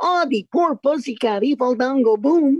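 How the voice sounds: A high-pitched, put-on character voice delivers the lines at a moderate pace.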